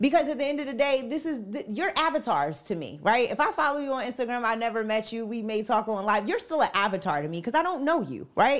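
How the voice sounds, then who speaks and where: The energetic voice races along at a very fast pace with hardly any pauses and very wide pitch swings. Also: woman, high pitch for a woman. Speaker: radio personality, guest co-host. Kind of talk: casual chat.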